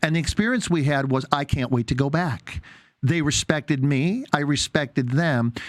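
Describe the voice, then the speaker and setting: A man with an ordinary speaking voice talks at a moderate pace, fairly high in pitch with ordinary pitch variation and very even loudness, in a dry, close sound with no echo. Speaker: naturopath, radio show host. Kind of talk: interview host talk.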